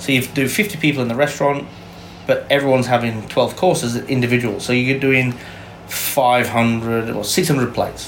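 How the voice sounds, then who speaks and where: Noticeable background noise and audible room echo around a man's medium-pitched, moderately paced speech. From Yorkshire, England. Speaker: chef. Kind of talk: interview.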